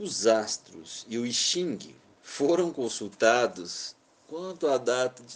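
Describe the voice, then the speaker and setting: With lively intonation and big swings in loudness, a man of medium pitch speaks at a very slow pace. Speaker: music industry executive telling memoirs. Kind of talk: memoir narration.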